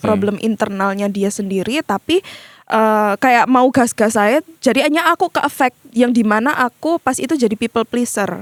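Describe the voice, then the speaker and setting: An unremarkable speaking voice moves at a moderate pace with lively intonation and very even loudness. The very clean recording has a silent background and a dry, close sound with no echo. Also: woman, fairly high pitch for a woman. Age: 20s. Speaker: content creator. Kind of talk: interview answer.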